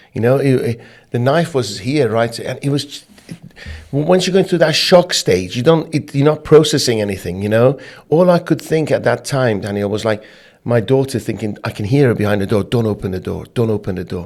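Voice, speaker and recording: In a plain, everyday voice, a man talks at a medium pitch with lively intonation. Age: 50s. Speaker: business owner. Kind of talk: interview.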